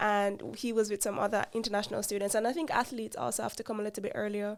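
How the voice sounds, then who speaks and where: Over noticeable background noise, a woman with a Jamaican accent talks at a very fast pace, her fairly high voice keeping a fairly even intonation. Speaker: podcast co-host. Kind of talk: casual chat.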